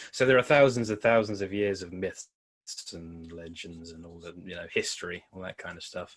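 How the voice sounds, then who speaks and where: A moderate pace with a Devon accent, ordinary pitch variation and big swings in loudness. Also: man, very deep, low pitch for a man. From Devon, England (Torbay). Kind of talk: podcast interview. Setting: in person. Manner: casual, hesitant with many fillers.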